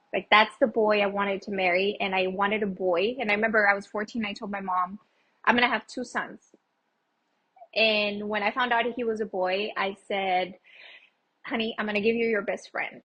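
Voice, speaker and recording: With a Spanish accent, a woman speaks at a medium pitch in a monotone, flat intonation. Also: moderate pace. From Texas, El Paso. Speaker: small business owner. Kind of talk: interview.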